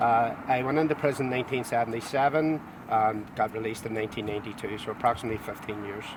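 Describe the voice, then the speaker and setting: Noticeable background noise sits behind a man talking very fast. His pitch is medium and his intonation fairly even. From Northern Ireland, Belfast. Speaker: former loyalist prisoner, tour guide. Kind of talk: testimony. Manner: halting.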